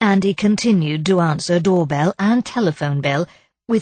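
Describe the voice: The background stays quiet. Over it comes plain reading aloud.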